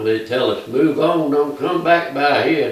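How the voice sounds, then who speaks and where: Man with a Georgia accent amid noticeable background noise. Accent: Southern American (Georgia). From Aragon, Georgia, USA. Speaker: retired school principal and former mayor. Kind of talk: oral history interview answer.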